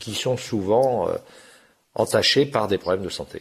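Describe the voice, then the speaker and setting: A fairly slow, somewhat breathy man with lively intonation against a quiet background. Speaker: magazine editor-in-chief. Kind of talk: radio interview. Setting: remote digital link.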